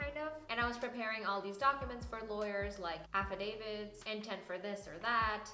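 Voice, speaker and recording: Music plays in the background as a woman with a medium-pitched voice talks at a moderate pace with ordinary pitch variation. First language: not English (English is third language). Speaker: physician assistant student and video creator. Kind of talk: personal story vlog.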